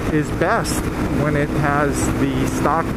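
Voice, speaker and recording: A man talks in a dry sound with no echo. Loud background noise runs behind him. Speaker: motorcycle rider vlogger. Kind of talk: casual vlog chat. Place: motorbike. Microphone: helmet.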